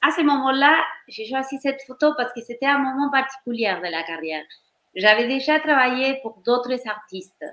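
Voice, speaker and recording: Speaking at a moderate pace, a woman has a high pitch and lively intonation. She has a slight Argentine accent. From Argentina. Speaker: professional dancer and choreographer. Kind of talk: interview on career. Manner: halting, with false starts.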